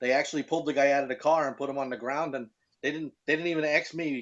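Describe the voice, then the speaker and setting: A man speaks with a Brooklyn accent. His pitch sits fairly high. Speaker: car enthusiast and website owner. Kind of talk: casual chat.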